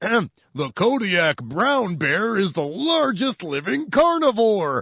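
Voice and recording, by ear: A put-on character voice at a fairly high pitch moves at a very slow pace. Its pitch swings very widely.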